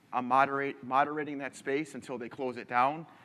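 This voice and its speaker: A man with a Midwestern American accent talks at a fairly quick pace with fairly even intonation. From Michigan. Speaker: engineer presenting a conference talk. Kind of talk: conference presentation. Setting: stage with audience. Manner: casual, many filler ums.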